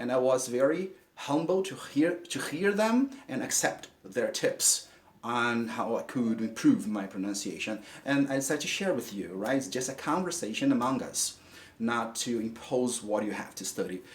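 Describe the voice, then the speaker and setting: With a Brazilian Portuguese accent, a man talks at a moderate pace. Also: medium pitch for a man, lively intonation. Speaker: English teacher. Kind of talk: tutorial. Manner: halting, repeats words.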